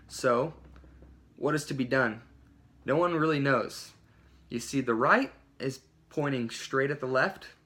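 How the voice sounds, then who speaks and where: In an American accent, a man speaks at a fairly slow pace with long, frequent pauses. His fairly high voice has a bright, sharp tone and fairly even intonation. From Oklahoma. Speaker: student. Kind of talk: class speech.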